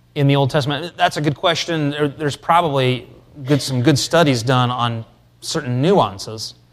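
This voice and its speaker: A man's fairly high voice at a moderate pace, fairly even in intonation, an ordinary speaking voice. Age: 40s. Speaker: pastor teaching a catechism class. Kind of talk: lecture.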